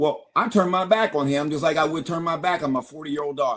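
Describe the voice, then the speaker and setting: A man with a plain, everyday voice and an American accent, fairly high in pitch, with lively intonation. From US Midwest. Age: 60s. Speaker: retired college basketball referee. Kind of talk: podcast interview.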